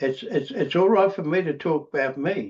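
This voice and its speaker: A man with an Australian accent speaks at a moderate pace. His pitch swings very widely. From Australia, Queensland–New South Wales border. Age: 80s+. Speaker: recovering alcoholic speaker. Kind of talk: testimony. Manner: halting, many repetitions and fillers.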